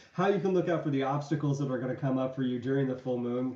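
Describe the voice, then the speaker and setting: The voice has a dark, mellow tone and ordinary pitch variation. Audible room echo is present. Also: man. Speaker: tarot reader. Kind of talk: tarot reading livestream. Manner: casual, chatty.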